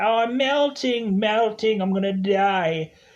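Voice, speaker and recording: In a put-on character voice, a man speaks at a high pitch and a fairly slow pace. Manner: dramatic, wailing.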